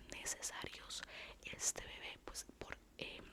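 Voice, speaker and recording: Behind noticeable background noise, a woman's whisper has a gentle tone. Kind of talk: casual talk to camera, devotional talk. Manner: soft-spoken, gentle.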